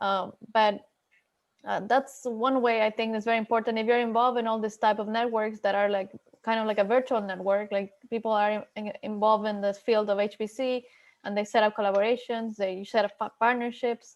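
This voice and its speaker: A woman with a Spanish accent talks at a fairly quick pace. Her fairly high voice stays monotone and flat. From Ecuador. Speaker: HPC researcher at a national lab. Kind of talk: panel discussion.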